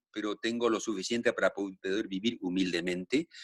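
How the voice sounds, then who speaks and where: A man is heard in a dry, close sound with no echo. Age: 70s. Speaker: actor. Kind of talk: interview.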